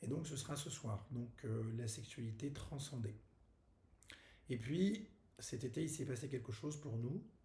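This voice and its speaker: In a room with audible echo, a man speaks fairly slowly in a medium pitch, his tone dark and mellow, somewhat breathy, with ordinary pitch variation. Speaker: wellness workshop host. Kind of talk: casual video announcement. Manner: halting, many fillers.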